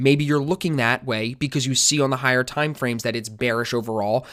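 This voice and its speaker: Fairly quick pace from a man at medium pitch with fairly even intonation. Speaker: trading teacher. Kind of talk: tutorial. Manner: fast.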